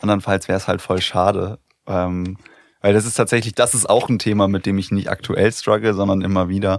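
A man talks at a fairly quick pace and a fairly low pitch. His delivery is monotone and flat. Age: 30s. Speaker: podcast host. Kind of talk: casual chat.

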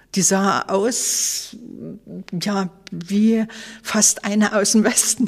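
Over noticeable background noise, a woman at a medium pitch talks very slowly with fairly even intonation and long, frequent pauses. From Leipzig, Saxony, East Germany. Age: 60s. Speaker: former Stasi archive head, eyewitness. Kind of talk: interview testimony.

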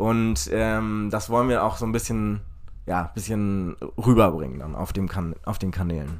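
Through audible room echo, a man with a fairly low pitch speaks at a fairly slow pace. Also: ordinary pitch variation. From Hamburg, northern Germany. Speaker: farmer and startup co-founder. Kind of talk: casual interview. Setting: construction trailer at a festival.

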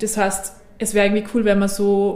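A woman at medium pitch, with audible room echo. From Austria, Innviertel (Upper Austria). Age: 20s. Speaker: member of a multilocal network. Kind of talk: interview.

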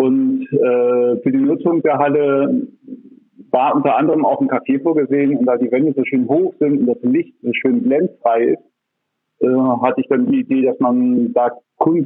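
A man speaks at a moderate pace, his loudness staying very even throughout. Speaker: café owner and gallery operator. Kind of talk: interview. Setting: phone call. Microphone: phone line, poor recording quality.

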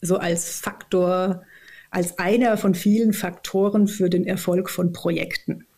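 In a dark, mellow tone, a woman speaks at medium pitch with monotone, flat intonation and a somewhat breathy quality. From southern Odenwald, Germany. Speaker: organisational consultant and author. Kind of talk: casual interview.

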